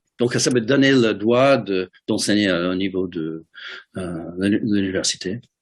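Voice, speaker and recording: A man's fairly low voice with an American accent. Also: ordinary pitch variation. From US Midwest, Detroit. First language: English (speaking French). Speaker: ceramic artist. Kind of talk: interview. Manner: halting, many hesitations and repeated words.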